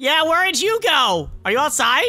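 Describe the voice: Using a cartoonish character voice, a woman speaks at a moderate pace. Her high pitch swings widely, with a bright, sharp tone.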